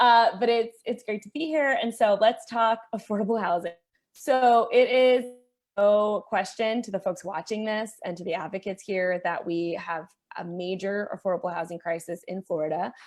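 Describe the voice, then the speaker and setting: In a very clean recording with a silent background, a woman talks at a medium pitch with ordinary pitch variation. She has an ordinary speaking voice, and her loudness swings widely. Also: moderate pace. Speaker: policy advocate. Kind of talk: panel presentation.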